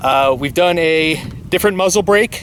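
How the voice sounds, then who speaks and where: A man with a high pitch and ordinary pitch variation talks through noticeable background noise. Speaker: gun channel host. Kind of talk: casual tutorial. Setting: outdoors. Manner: loud.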